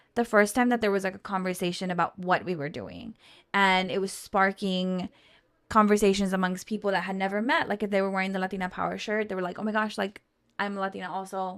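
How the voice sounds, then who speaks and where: On a very clean recording with a silent background, a woman speaks very fast with an American accent. Her pitch sits at a medium level, with fairly even intonation. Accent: South Texas Mexican American English. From Brownsville, Texas border region (from Matamoros as a child). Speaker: business co-founder. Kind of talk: interview conversation.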